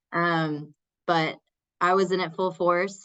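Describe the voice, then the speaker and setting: A woman with a strong Texas accent speaks at a fairly low pitch. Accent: thick Texas. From Texas, small town. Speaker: community college instructor. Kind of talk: workshop presentation.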